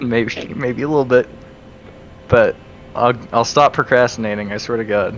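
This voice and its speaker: Fairly even intonation at a moderate pace, with long, frequent pauses and noticeable background noise. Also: man, medium pitch for a man. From lived in Germany and Spain. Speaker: animator. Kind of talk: casual chat.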